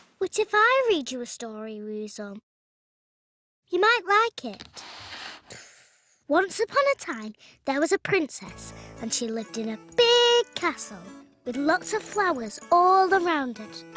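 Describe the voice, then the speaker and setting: A cartoonish character voice speaks at a high pitch and moderate pace. Long, frequent pauses break it up. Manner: gentle, patient.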